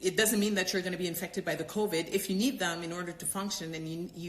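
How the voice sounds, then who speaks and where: A woman talks at a fairly quick pace. Her voice is fairly low, with fairly even intonation. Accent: non-native. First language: not English. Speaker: doctor and yoga teacher. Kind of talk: live Q&A stream. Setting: live stream. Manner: halting, many fillers and repetitions.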